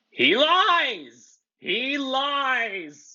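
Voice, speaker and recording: This is a put-on character voice. It is pitched high. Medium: read story. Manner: menacing.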